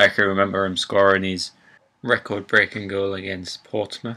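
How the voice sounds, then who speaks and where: In a Geordie accent, a man speaks with a bright, sharp tone on a very clean recording with a silent background. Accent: Geordie (Newcastle). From northern England, Newcastle. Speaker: gaming YouTuber. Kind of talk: casual let's play intro.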